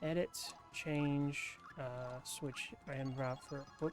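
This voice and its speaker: Soft-spoken and fairly high-pitched, a man talks with fairly even intonation while music plays in the background. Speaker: ASMR gaming YouTuber. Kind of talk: soft-spoken gaming commentary. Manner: soft-spoken, relaxed.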